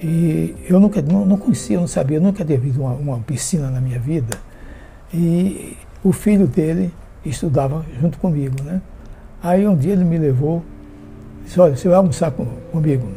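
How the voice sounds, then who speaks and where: A man with a fairly high pitch speaks at a moderate pace, with ordinary pitch variation and long, frequent pauses. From Sergipe, Brazil. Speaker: retired teacher and army veteran. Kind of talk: interview.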